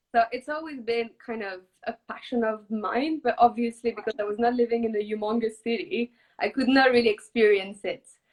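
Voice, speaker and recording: In a French accent, a woman speaks with a fairly high pitch and ordinary pitch variation. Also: fairly quick pace. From southwest France. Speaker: startup co-founder and art director. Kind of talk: interview.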